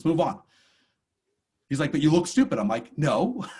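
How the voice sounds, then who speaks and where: This man's fairly high voice swings very widely in pitch and carries vocal fry. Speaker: course instructor. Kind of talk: lecture. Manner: fast; animated.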